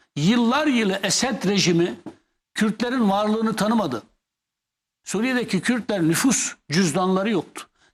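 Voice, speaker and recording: The voice has an animated tone, very even loudness and ordinary pitch variation at a fairly slow pace. The recording is very clean, with a silent background. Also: man, high pitch for a man. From Kurdish Turkey. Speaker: former MP and columnist. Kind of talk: TV interview.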